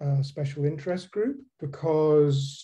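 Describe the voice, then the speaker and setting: Against a quiet background, a man speaks at a fairly slow pace with fairly even intonation. His tone is dark and mellow and somewhat breathy. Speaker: humanities professor. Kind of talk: presentation in meeting. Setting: video call. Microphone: video call.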